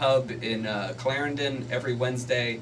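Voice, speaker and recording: A man talks at a moderate pace and a medium pitch. Audible room echo and noticeable background noise surround his voice. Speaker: stand-up comedian. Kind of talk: casual radio interview. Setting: radio studio. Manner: loud; animated.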